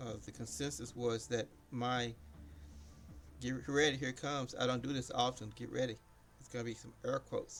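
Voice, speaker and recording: Over background music, a man speaks with ordinary pitch variation, big swings in loudness, and long, frequent pauses. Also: medium pitch for a man. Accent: American. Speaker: game streamer. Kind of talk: casual live stream chat. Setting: live stream. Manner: rambling, halting.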